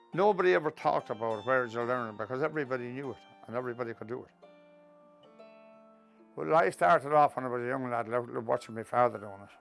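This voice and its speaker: Music plays behind a man of medium pitch who speaks at a very fast pace with lively intonation, long, frequent pauses and big swings in loudness. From Kells, County Meath, Ireland. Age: 70s. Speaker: retired Traveller tinsmith. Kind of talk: interview answer.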